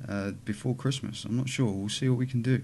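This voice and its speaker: In a British accent, a man with a dark, mellow tone talks at a fairly quick pace with ordinary pitch variation over light background noise. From UK. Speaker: vape YouTuber. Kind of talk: casual vlog. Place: home room. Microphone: webcam.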